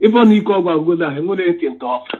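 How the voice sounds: Speaking at a very fast pace, a man with a high pitch and a slightly husky edge uses lively intonation.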